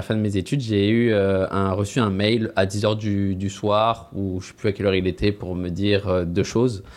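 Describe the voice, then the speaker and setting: Speaking with hardly any pauses at a moderate pace, a man has an unremarkable speaking voice, fairly low in pitch with fairly even intonation. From France. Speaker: recruitment team lead. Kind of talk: interview.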